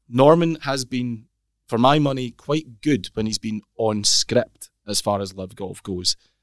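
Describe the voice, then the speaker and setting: In a Scottish accent, a man with medium pitch and ordinary pitch variation speaks with a dry, close sound with no echo on a very clean recording with a silent background. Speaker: golf podcast host. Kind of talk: casual chat. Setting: studio.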